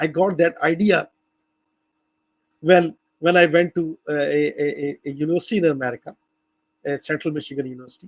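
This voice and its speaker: With a non-native accent, a man talks at a fairly quick pace and a high pitch, the sound dry and close with no echo. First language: not English. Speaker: language educator. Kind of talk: lecture. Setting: video call. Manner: halting.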